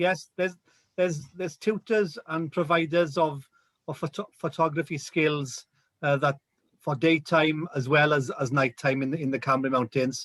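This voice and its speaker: In a South Wales Valleys accent, a man with a fairly high voice and ordinary pitch variation speaks at a moderate pace, recorded very cleanly against a silent background with a dry, close sound and no echo. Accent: Welsh, like the South Wales valleys. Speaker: rural tourism representative. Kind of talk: casual chat. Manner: halting, many repetitions.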